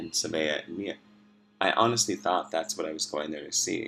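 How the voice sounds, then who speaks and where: There is music in the background as a man speaks. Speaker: video blogger. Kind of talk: personal monologue. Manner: halting.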